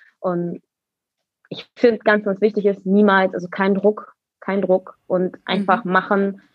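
At a moderate pace, a woman speaks at a medium pitch in a normal speaking voice. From Berlin, Germany. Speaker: roller skater and dancer. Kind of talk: interview.

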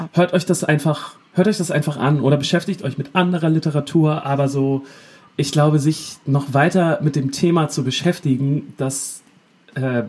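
Speaking at a moderate pace, a man uses a fairly high pitch with fairly even intonation. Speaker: podcast co-host, musician. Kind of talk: casual chat. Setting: remote call from the North Sea coast.

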